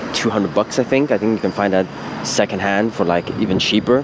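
Fairly quick and fairly even in intonation, a man's fairly low voice comes through noticeable background noise. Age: 20s. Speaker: podcaster and video maker. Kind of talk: casual monologue. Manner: informal, filler-heavy.

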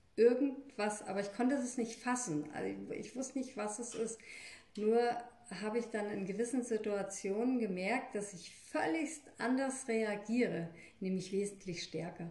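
Audible room echo surrounds a woman's voice. She speaks at a fairly high pitch with ordinary pitch variation. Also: moderate pace. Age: 50s. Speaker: energy healer and hairdresser. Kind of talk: interview.

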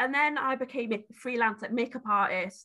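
Bright and sharp in tone, a woman with a Welsh accent speaks in a raised, projected voice. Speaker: beauty brand founder and support worker. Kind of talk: casual interview.

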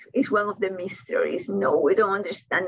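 A woman speaks with a Cuban accent. Her pace is moderate. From Cuba (Havana). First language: Spanish. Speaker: author and college professor. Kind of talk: interview.

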